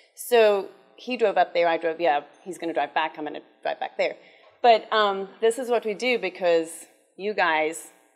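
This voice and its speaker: With a South African accent, a woman talks at a moderate pace with ordinary pitch variation. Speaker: cancer survivor and charity development officer. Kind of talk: conference talk.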